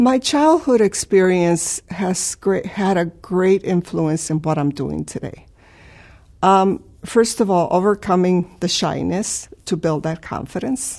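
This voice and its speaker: A woman with a Spanish accent and a dark, mellow tone speaks very slowly with lively intonation. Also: medium pitch for a woman, very clean recording, silent background. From Chicago, US (from Mexico as a child). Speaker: professor and cancer researcher. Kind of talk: personal career testimony. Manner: hesitant, many fillers.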